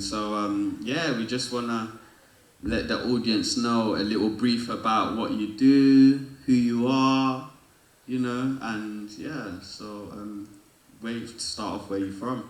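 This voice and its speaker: A man speaks at a fairly slow pace with a medium pitch. His intonation is fairly even, and there is noticeable background noise. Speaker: podcast host. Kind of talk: casual interview questions.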